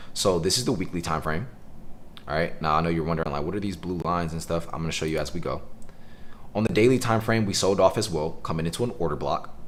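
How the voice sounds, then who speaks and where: A man's voice with ordinary pitch variation and audible echo from the room. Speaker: day trading educator streamer. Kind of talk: live trading tutorial stream. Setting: live stream with Zoom call. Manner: fast; casual.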